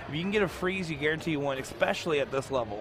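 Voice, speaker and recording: An animated man over noticeable background noise. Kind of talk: sports commentary. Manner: animated, excitable play-by-play delivery.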